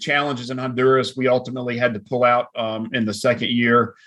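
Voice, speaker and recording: Using a normal speaking voice, a man with an American accent talks at a fairly quick pace in a medium pitch. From US South, middle Georgia. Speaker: coffee company founder and CEO. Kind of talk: interview.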